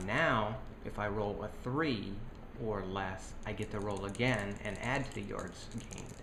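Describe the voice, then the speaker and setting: A man talks at a fairly low pitch. Noticeable background noise and audible room echo fill the recording. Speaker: board game designer. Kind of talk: tutorial.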